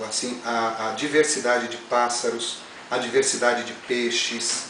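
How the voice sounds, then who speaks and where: Amid noticeable background noise and audible room echo, a man speaks fairly slowly in a medium-pitched voice with ordinary pitch variation. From Brazil, Mato Grosso do Sul then São Paulo. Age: 40s. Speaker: interviewee. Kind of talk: casual chat. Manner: halting, many repetitions.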